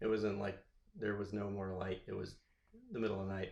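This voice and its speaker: A man talks in a west Texas accent with a fairly low pitch. He speaks at a very fast pace. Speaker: podcast host. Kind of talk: casual chat.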